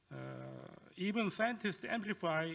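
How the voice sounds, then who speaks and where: A high-pitched man's voice in a Korean accent. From South Korea. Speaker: professor. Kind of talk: lecture. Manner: halting.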